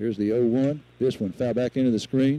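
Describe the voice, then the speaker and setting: This man's tone is dark and mellow. His delivery is fairly quick. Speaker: radio sports commentator. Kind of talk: live radio play-by-play commentary. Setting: outdoors at a high school baseball field, live broadcast. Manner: informed, conversational asides about field and players.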